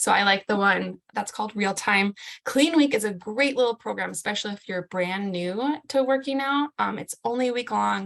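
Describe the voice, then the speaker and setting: A woman's normal speaking voice at medium pitch, moderate pace and ordinary pitch variation, with hardly any pauses, in a dry, close sound with no echo. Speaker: fitness coach. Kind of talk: group video call presentation.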